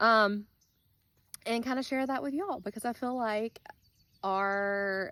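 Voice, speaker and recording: A woman talks with ordinary pitch variation at a moderate pace on a very clean recording with a silent background. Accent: Alabama. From US South, South Alabama. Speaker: gardening vlogger. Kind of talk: casual vlog tutorial. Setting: outdoors in garden. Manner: casual, many filler ums.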